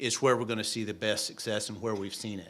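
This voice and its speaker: A man with a southwest Missouri accent and a fairly low pitch, with audible echo in the room. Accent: noticeable southwest Missouri. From US Midwest, southwest Missouri. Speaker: state oil and gas regulator, geologist. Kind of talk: public meeting speech. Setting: meeting hall with audience.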